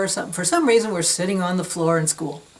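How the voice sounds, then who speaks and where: A woman speaks with ordinary pitch variation. Background noise is noticeable. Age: 60s. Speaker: yoga and massage educator. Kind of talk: informal talk to camera. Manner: casual, hesitant with fillers.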